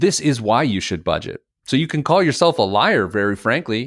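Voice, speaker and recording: A man's normal speaking voice with lively intonation at a moderate pace, on a very clean recording with a silent background. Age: 40s. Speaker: financial educator and author. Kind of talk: casual interview.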